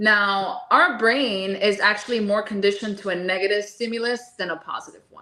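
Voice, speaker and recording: With a Spanish accent, a woman speaks at a medium pitch with a bright, sharp tone. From Miami, Florida. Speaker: holistic nutritionist. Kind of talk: interview.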